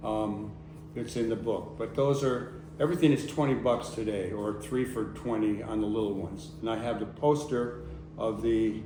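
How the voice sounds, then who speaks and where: A man's fairly low voice at a moderate pace, with ordinary pitch variation and audible room echo. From US Northeast (Connecticut). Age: 80s+. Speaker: activist and photographer. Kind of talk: public talk.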